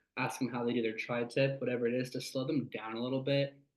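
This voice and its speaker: Very fast speech from a man with an American accent, flat and monotone in intonation. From California Central Valley. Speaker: sales rep. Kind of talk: workshop talk.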